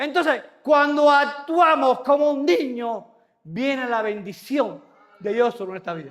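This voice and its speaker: With an extremely high pitch, a man speaks at a fairly slow pace in an animated tone with lively intonation, while audible room echo fills the clip. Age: 60s. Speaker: pastor. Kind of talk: sermon.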